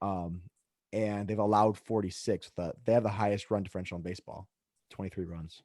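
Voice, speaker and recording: A man talks at a fairly quick pace on a very clean recording with a silent background and a dry, close sound with no echo. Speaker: podcast host and teacher. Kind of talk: casual chat. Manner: fast; animated.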